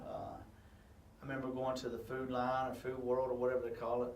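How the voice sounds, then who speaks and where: Someone with a Southern US accent talks at a moderate pace. The room echoes audibly, and background noise is noticeable. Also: man. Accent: country Southern. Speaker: high school football head coach. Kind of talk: casual interview. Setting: video interview for radio show. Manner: halting, many fillers.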